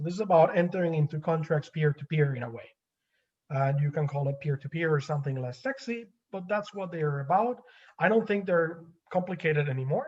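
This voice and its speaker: Speaking at a fairly quick pace, a man with a fairly high pitch uses lively intonation. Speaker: energy law academic. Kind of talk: webinar lecture and Q&A. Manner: fast.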